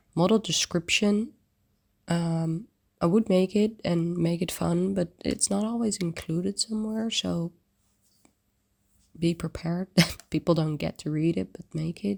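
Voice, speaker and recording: Soft-spoken and fairly low in pitch, a woman talks at a fairly slow pace with long, frequent pauses and ordinary pitch variation, in a dry, close sound with no echo. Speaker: 3D design community host. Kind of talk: screen-share tutorial walkthrough. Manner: casual, hesitant with fillers.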